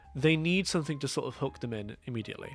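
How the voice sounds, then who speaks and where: A man talks with very wide pitch swings. Music plays in the background. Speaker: demo reel producer. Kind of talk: casual review talk to camera.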